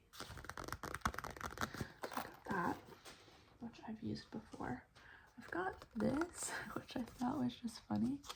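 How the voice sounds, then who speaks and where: A woman whispers at a fairly slow pace with long, frequent pauses and big swings in loudness. Noticeable background noise runs underneath. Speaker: ASMR creator. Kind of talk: ASMR trigger assortment. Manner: whispered, soft-spoken.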